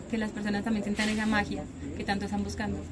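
Noticeable background noise and audible room echo surround a woman speaking in a fairly high pitch. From Antioquia, Colombia. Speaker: coffee farm guide. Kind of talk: casual interview. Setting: outdoors on a coffee farm.

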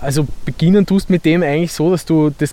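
A man's normal speaking voice at a moderate pace, with ordinary pitch variation. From Vorarlberg, Austria; Vienna area from 15. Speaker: musician and angler. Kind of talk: casual explanation.

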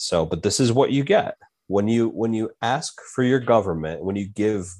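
An unremarkable speaking voice from a man, fairly low in pitch with ordinary variation, at a moderate pace over a quiet background. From US, grew up among Italian-Americans. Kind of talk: casual chat.

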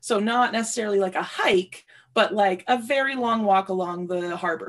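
A woman with a Canadian accent and a plain, everyday voice speaks at a moderate pace with medium pitch and ordinary pitch variation. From Ontario, Canada (Sudbury). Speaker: podcast guest sharing personal experience. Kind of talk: casual chat.

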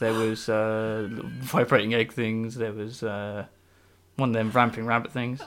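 Speaking with a Norfolk accent, a man talks at a fairly slow pace with a medium pitch in a monotone, flat intonation. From England, Norwich. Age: 20s. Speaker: environmental technician. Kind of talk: casual chat. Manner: soft-spoken.

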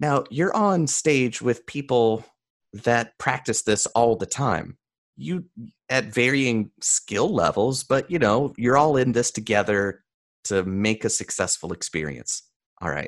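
Fairly slow speech from a man with an American accent, a normal speaking voice at medium pitch, lively intonation and a quiet background. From US South, mountains of North Carolina. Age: 30s. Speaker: mentalist and speaker. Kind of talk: interview conversation.

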